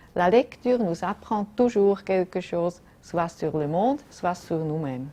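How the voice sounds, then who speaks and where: In a German accent, a voice with a dark, mellow tone speaks very slowly with lively intonation. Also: woman, fairly low pitch for a woman. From German-speaking Switzerland. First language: German (speaking French). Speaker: diplomat. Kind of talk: prepared statement.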